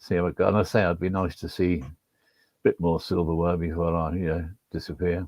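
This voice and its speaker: The man's pitch is very deep and low, and his intonation is monotone and flat. He talks at a fairly quick pace. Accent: Liverpool. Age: 70s. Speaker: stadium announcer. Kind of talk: casual chat.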